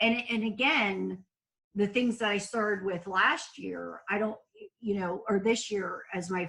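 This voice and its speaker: Her pitch is fairly high. The woman's pitch varies in an ordinary way. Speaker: middle school teacher. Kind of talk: casual chat. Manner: loud.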